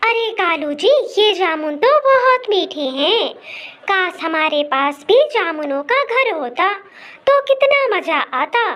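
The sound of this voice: An extremely high-pitched, female-sounding cartoonish character voice, very slow, with very wide pitch swings.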